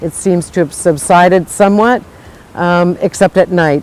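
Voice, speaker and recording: A woman with an American accent and a plain, everyday voice, fairly low in pitch, moving at a moderate pace with ordinary pitch variation. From United States. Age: 60s. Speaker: coral reef restorer. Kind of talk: interview answer.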